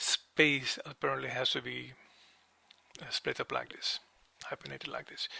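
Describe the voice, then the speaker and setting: His speed is moderate. The man has a non-native accent. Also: dry, close sound with no echo. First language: not English. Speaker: music software tutor. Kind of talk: tutorial. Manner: halting.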